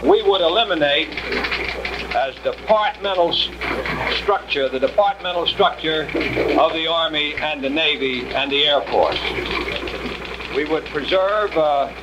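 A man talks at a fairly slow pace. Loud background noise runs behind him. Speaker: U.S. senator. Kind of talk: political speech about defense reorganization, newsreel statement. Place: hall. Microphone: podium.

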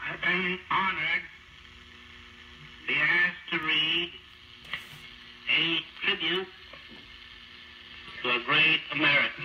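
A man with a high voice speaks with fairly even intonation and long, frequent pauses. Audible room echo and light background noise are present. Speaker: mayor of New York City. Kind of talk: radio eulogy reading. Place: studio. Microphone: old recording.

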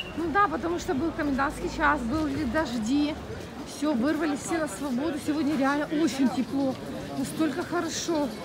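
Against crowd noise in the background, a woman speaks at a moderate pace with ordinary pitch variation. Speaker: vlogger. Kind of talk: casual vlog chat. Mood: cheerful, upbeat. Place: street. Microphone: phone near.

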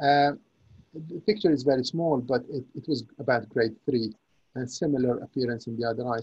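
Against a quiet background, a man talks at a fairly quick pace in a somewhat breathy voice with ordinary pitch variation. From Syria. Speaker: consultant neuro-ophthalmologist. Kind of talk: lecture. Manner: halting, with many repetitions. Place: home room. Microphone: webcam.

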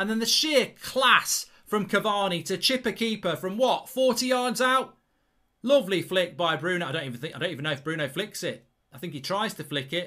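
A man with a high, bright, sharp tone and a raised, projected voice, lively intonation and a fairly quick pace, over a quiet background. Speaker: football fan channel presenter. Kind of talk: live commentary-style reaction. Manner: excitable, loud, gushing with superlatives. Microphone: studio mic.

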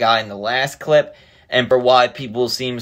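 The man's voice comes over a quiet background. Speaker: content creator. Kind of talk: casual vlog chat. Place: home room. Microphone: phone near.

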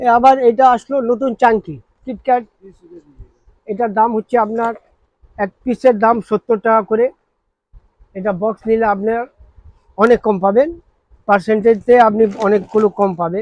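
A man speaks at a high pitch with fairly even intonation. The background is quiet, and the sound is dry with no echo. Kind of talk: product price explanation. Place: shop. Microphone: lapel.

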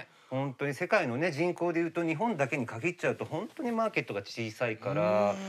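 His pitch leaps across a very wide range while the man keeps a moderate pace. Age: 50s. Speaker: makeup artist; guest. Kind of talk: casual chat. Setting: studio. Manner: hesitant, many fillers. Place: studio. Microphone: lapel.

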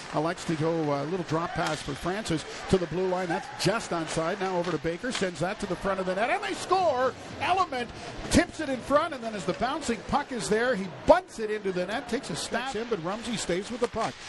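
With noticeable background noise behind him, a man speaks at a fairly quick pace. His pitch is high, and his intonation is lively. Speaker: hockey play-by-play announcer. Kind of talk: live hockey play-by-play commentary, rapid pass-by-pass calls. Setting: arena broadcast booth. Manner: rising excitement on goals, exclamatory 'and he scores!' calls; brisk, clipped fragments tracking the puck in real time.

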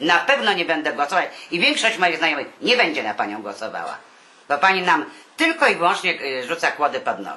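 Pitched fairly low, a woman talks at a fairly quick pace with very wide pitch swings. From Warsaw, Poland. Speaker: retired artist. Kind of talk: interview answer.

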